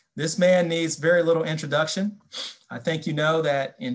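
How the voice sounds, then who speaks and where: At a moderate pace, this is a normal speaking voice with an American accent and ordinary pitch variation. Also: man. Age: 50s. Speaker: judge. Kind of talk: lecture. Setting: video call.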